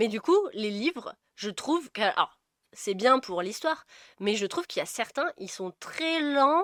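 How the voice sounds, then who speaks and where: At a moderate pace, a woman with a high pitch makes very wide pitch swings, recorded dry and close with no echo in a very clean take with a silent background. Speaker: book podcast co-host. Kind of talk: casual chat.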